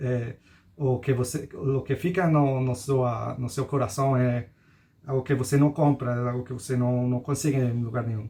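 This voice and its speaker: Somewhat breathy and dark, mellow in tone, a man with a Spanish accent talks fairly slowly at medium pitch. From Costa Rica. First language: Spanish (speaking Portuguese). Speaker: digital nomad. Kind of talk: interview. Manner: halting.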